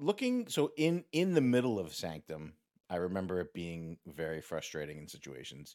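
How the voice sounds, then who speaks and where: A man speaks with a very deep, low pitch at a moderate pace. His pitch swings very widely on a very clean recording with a silent background. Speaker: podcast host. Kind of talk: casual interview.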